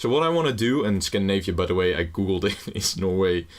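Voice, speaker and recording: A man with a Dutch accent talks at a fairly quick pace in a very deep, low pitch. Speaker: gaming YouTuber. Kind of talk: gameplay commentary. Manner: casual, rambling with fillers.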